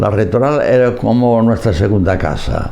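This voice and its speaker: There is noticeable background noise and audible room echo around a man speaking at a fairly low pitch. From Galicia, Spain. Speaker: priest. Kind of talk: oral history interview. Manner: halting.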